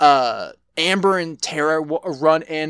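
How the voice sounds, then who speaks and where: The speaker is a man. He has an American accent. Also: very clean recording, silent background. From Texas. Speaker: podcast co-host. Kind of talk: casual chat. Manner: halting, many repetitions.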